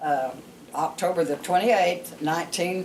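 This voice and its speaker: A woman with a Southern US accent speaks at a moderate pace, her pitch fairly low with ordinary variation. Noticeable background noise runs under her voice. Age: 80s+. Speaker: storyteller grandmother. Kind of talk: personal life story told to family.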